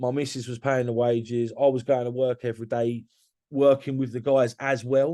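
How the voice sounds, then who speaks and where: A man's medium-pitched voice in a London accent, dark and mellow in tone, at a moderate pace. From London area, Hertfordshire. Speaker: construction business owner. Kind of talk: podcast interview. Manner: animated; halting.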